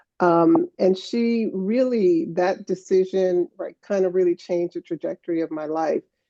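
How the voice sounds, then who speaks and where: A woman talks at a moderate pace with hardly any pauses, her tone dark and mellow at a medium pitch with ordinary pitch variation. The sound is dry and close, with no echo. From New York City (Harlem), born in Guyana. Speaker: professor. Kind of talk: conference conversation. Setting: conference stage with audience. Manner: filler-heavy, conversational.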